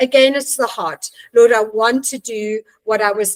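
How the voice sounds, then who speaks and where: A woman with a normal speaking voice talks at a fairly slow pace and a fairly high pitch. Her pitch varies in an ordinary way, and the sound is dry and close with no echo. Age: 60s. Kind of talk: podcast interview.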